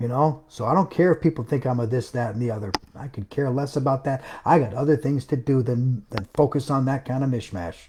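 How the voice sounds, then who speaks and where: Somewhat breathy, a man speaks at a medium pitch with a dark, mellow tone. His pace is fairly quick and his pitch varies in an ordinary way. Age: 60s. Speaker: self-published author and home business promoter. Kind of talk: live stream rant. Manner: animated; emphatic.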